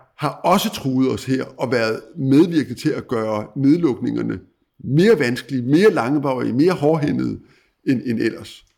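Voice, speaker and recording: A man with a plain, everyday voice speaks at a medium pitch. His intonation is lively and his pace fairly slow. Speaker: former newspaper editor, commentator. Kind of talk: interview on world affairs. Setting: at guest's country home.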